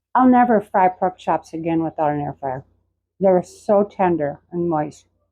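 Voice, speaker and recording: A woman talks in an unremarkable speaking voice, at a fairly low pitch and moderate pace with lively intonation. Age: 60s. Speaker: cooking channel host. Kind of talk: casual cooking vlog. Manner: casual, chatty.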